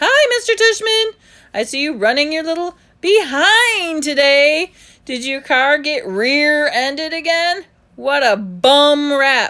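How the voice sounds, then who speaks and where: A woman puts on a character voice, high in pitch and fairly slow in pace. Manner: mocking, teasing.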